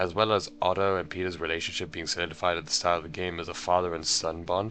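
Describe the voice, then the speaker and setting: A man's very deep, low voice at a very fast pace, with music in the background. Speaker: video essayist. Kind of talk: video essay commentary.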